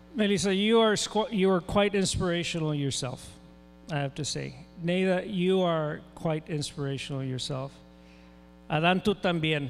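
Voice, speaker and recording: A high-pitched man's voice with an American accent, a moderate pace and ordinary pitch variation, over music in the background. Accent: Tejano South Texas English. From South Texas, Rio Grande Valley. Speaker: event moderator, professor. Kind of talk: event emceeing. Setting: stage at school assembly.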